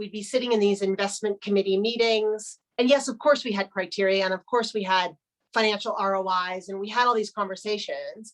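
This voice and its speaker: A plain, everyday voice from a woman, medium-pitched, fairly even in intonation and at a fairly quick pace. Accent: American. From United States. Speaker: business strategy executive. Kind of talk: webinar interview. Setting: video webinar.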